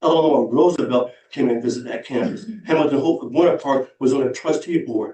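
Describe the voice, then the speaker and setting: Fairly high-pitched and dark, mellow in tone, a man with an American accent speaks at a fairly quick pace. He has ordinary pitch variation and hardly any pauses. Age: 60s. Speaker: public commenter, historian. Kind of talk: public comment at town council meeting. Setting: town council chamber. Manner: impassioned, emphatic.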